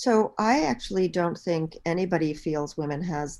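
A woman speaks in a very deep, low pitch. Her pace is moderate. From Bahamas. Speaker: author and activist. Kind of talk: interview. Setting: call.

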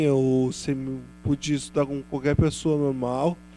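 A man talks fairly slowly. Music can be heard behind him. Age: 20s. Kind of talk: panel talk at public event. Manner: halting, repeats words.

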